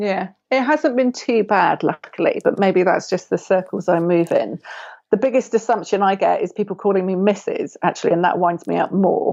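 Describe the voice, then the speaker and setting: In a southern English accent, a woman speaks at medium pitch and a moderate pace. Her loudness stays very even, and her pitch variation is ordinary. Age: 40s. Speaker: writer and photographer. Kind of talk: podcast interview.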